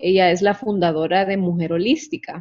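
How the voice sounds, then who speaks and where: Speaking at a fairly slow pace, a woman has an unremarkable speaking voice of medium pitch and fairly even intonation. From Honduras. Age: 40s. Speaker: health coach. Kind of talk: interview. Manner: casual.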